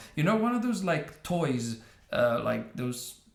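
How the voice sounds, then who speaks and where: A man talks at a fairly slow pace. The recording has audible room echo and noticeable background noise. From northern Italy, Trieste. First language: Italian. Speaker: YouTube commentator. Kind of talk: reaction video commentary. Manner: halting, many fillers.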